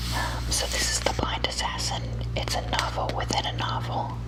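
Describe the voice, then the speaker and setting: Noticeable background noise sits behind the recording. A woman speaks with a very deep, low pitch. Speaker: ASMR artist doing a librarian roleplay. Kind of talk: ASMR roleplay, helpful librarian talking to the listener. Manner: soft-spoken, friendly.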